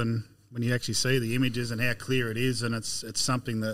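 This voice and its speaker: A man with an Australian accent talks at a very fast pace, his pitch medium and his intonation fairly even, on a very clean recording with a silent background. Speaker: agronomist. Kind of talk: casual chat.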